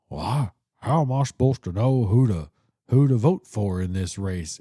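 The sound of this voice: A man uses a put-on character voice at medium pitch with lively intonation and a moderate pace. The sound is dry and close with no echo, on a very clean recording with a silent background.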